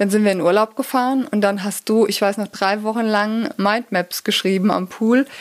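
In a very clean recording with a silent background, a woman uses an ordinary speaking voice at a medium pitch, with fairly even intonation and a moderate pace. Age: 40s. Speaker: physiotherapist and pain therapist, YouTuber. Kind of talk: casual interview chat.

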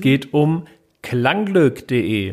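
On a very clean recording with a silent background, a man with a fairly high pitch speaks very slowly. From Hesse, Germany (Wiesbaden). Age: 30s. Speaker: podcast co-host, founder. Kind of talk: casual chat.

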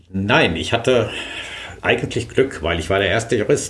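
A man with a fairly low pitch talks in a space with audible room echo. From Sauerland, Germany. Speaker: trade association lawyer and managing director. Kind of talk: interview. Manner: hesitant with filler sounds.

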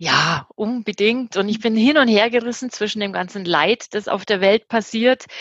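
The recording is dry and close, without any echo. It is a woman who speaks. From Germany. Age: 50s. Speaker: change management consultant. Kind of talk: interview. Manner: hesitant, many fillers.

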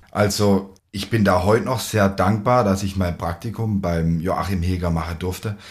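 A man's fairly low, somewhat breathy voice with fairly even intonation and hardly any pauses. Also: moderate pace. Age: 20s. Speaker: winemaker. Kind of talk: casual interview. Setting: on location at a winery, at a table.

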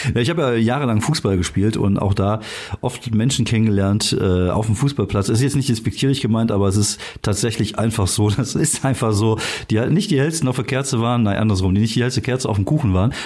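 A man speaks very fast at a medium pitch. His loudness stays very even, and his pitch varies in an ordinary way. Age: 40s. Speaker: podcast host. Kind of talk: casual chat.

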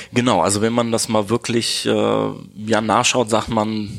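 There is noticeable background noise behind this man. His fairly low voice is monotone, with flat intonation. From Neuss near Düsseldorf, Germany. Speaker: optician. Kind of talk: interview. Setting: in his optician's shop.

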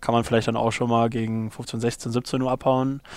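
A man speaks at a fairly quick pace and medium pitch, his intonation monotone and flat. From Ruhr area, Germany (Unna). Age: 30s. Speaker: company co-founder. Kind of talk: interview. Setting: office.

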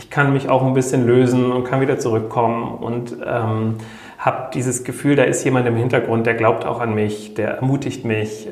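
A man talks at medium pitch and a moderate pace, with fairly even intonation. Noticeable background noise and audible room echo are present. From rural Germany. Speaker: social worker. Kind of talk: interview.

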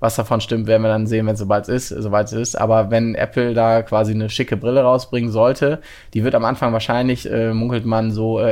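Very fast and in a monotone, flat intonation, a man talks at medium pitch. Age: 30s. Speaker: VR company co-founder and CTO. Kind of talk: interview. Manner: halting.

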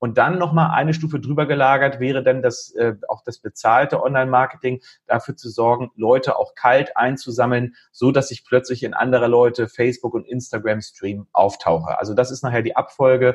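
A man at medium pitch speaks at a moderate pace with hardly any pauses, fairly even intonation and a somewhat breathy voice. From northern Germany, Lüneburg Heath (Lower Saxony). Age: 40s. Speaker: IT entrepreneur. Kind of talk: podcast interview.

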